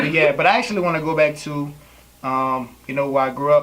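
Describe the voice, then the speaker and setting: Noticeable background noise beneath a fairly flat intonation. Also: man. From Louisiana. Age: 20s. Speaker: poet. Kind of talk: interview. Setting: on camera.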